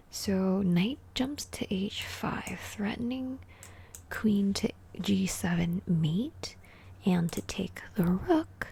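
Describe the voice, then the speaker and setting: The voice is soft-spoken and somewhat breathy, with lively intonation. It moves at a very slow pace. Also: woman. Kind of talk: ASMR chess puzzle commentary. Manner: soft-spoken, relaxing.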